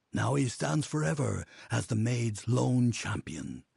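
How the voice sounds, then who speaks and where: A man puts on a character voice with a solemn tone and medium pitch. He talks at a fairly slow pace over a quiet background. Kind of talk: epic fantasy narration. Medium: video game. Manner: solemn, measured.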